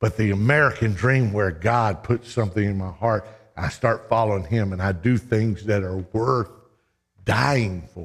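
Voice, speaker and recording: At a moderate pace, a man speaks in a fairly low, somewhat breathy voice with ordinary pitch variation, in a very clean recording with a silent background. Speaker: preacher. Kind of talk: sermon. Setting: church. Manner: animated; urgent, exhorting.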